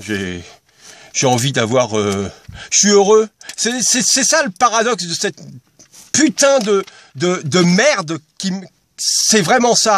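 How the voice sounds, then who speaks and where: A high-pitched man speaks very slowly, with long and frequent pauses, very wide pitch swings, and a dry sound with no echo. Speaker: video blogger. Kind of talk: personal vlog monologue. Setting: in a car. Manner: halting, many hesitations. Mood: emotional, introspective. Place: car. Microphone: phone near.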